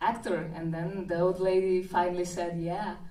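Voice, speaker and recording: Somewhat breathy and at a fairly slow pace, a woman speaks with a Brazilian Portuguese accent amid audible room echo. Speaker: film director. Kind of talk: interview at event. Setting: premiere reception with audience.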